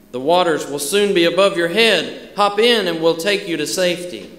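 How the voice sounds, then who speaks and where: A man's voice with audible room echo. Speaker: church elder preaching. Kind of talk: sermon. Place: church. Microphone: podium.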